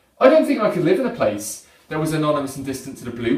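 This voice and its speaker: Very fast male speech amid noticeable background noise. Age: young. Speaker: poet. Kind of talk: slam poetry performance.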